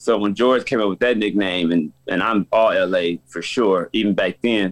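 A man speaks in a plain, everyday voice, fairly low in pitch with ordinary pitch variation. His pace is fairly slow. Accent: American. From Los Angeles, South Central. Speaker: basketball coach. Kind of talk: interview.

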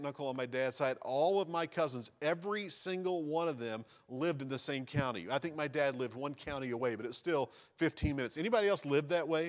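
He has an American accent and a fairly high pitch with ordinary pitch variation. This man speaks at a fairly quick pace. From US South, rural East Tennessee. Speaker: missionary. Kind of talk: sermon. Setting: church.

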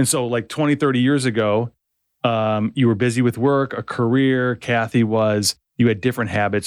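A normal speaking voice at a fairly quick pace on a very clean recording with a silent background. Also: man. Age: 50s. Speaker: podcast host. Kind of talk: casual interview chat. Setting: studio.

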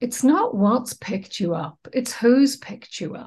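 Somewhat breathy speech at a fairly slow pace. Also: woman. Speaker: wellbeing trainer and co-founder. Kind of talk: interview, casual conversation.

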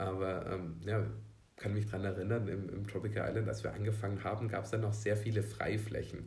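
Audible room echo surrounds a man talking at a fairly quick pace in a fairly low pitch with monotone, flat intonation. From southern Germany, Swabia (Unterelchingen near Ulm). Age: 30s. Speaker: cheerleading company employee, former cheerleader. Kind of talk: interview. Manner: hesitant, many fillers.

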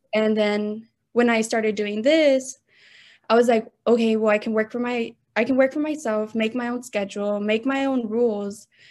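With an ordinary speaking voice, a woman talks at a moderate pace and a fairly high pitch against a quiet background. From Texas, Austin. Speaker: lash technician and small business owner. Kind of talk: interview.

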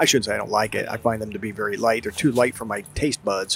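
Noticeable background noise runs beneath a man talking with an American accent. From US Northeast, South Jersey. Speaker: podcast co-host, father. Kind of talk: casual chat. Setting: outdoors in a brewery beer garden.

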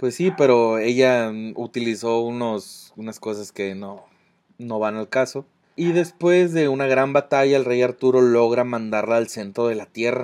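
Speaking with a Mexican accent, a man uses a medium pitch and ordinary pitch variation. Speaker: podcast co-host. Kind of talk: casual chat. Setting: outdoors. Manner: halting.

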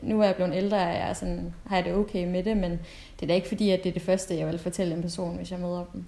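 A woman with a dark, mellow tone and vocal fry speaks very fast in a fairly low, monotone, flat pitch. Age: 20s. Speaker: UX designer, adoptee. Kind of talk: casual chat. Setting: video call.

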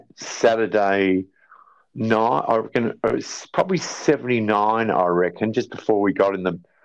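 The background is quiet. A man with an Australian accent speaks at a medium pitch. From South Australia, rural farm near Port Wakefield. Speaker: drummer and band manager. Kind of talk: casual interview chat. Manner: halting, many fillers.

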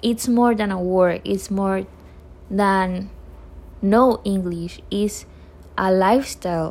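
Speaking at a very slow pace, a woman talks in a Panamanian accent. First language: Spanish. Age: 20s. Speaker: university English student. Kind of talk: self-introduction.

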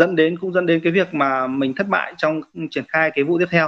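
A man with a high voice talks fairly quickly, keeping his intonation fairly even. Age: 30s. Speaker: rice farmer and cooperative head. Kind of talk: interview.

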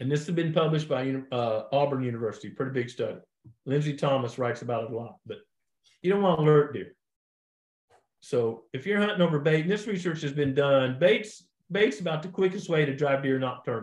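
This man talks at a fairly quick pace in a fairly high, somewhat breathy voice with lively intonation. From US Midwest, Missouri Ozarks. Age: 60s. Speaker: deer biologist. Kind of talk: podcast interview.

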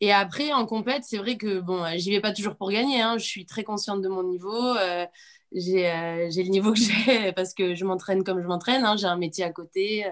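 Over a silent background in a very clean recording, a woman uses a normal speaking voice at a medium pitch, with a moderate pace and ordinary pitch variation. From Corsica. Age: 30s. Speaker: schoolteacher and CrossFit athlete. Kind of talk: casual chat.

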